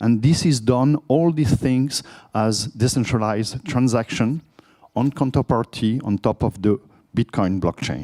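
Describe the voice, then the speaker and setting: A man with a French accent and a medium pitch speaks fairly slowly in a dark, mellow tone with very even loudness, in a dry, close recording with no echo. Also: ordinary pitch variation. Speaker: conference speaker, product manager. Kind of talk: conference talk.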